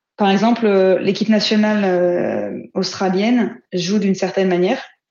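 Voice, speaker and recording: A woman talks very slowly in a medium pitch, her intonation fairly even. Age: 30s. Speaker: football player and coach. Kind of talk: interview.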